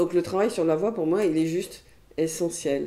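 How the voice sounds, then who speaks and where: This is a woman whose pitch sits fairly low. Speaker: hypnotherapist and trainer. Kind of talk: interview. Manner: hesitant, with fillers.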